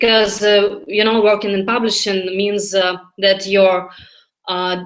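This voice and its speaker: Over background music, a woman with a Russian accent speaks fairly slowly at medium pitch in a flat, monotone way. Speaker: language learner. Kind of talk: mock job interview practice. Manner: halting.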